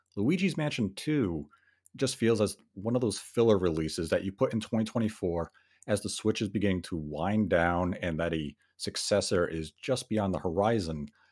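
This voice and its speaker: On a very clean recording with a silent background, a man speaks at a moderate pace. He has a normal speaking voice, a fairly low pitch and lively intonation. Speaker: podcast co-host.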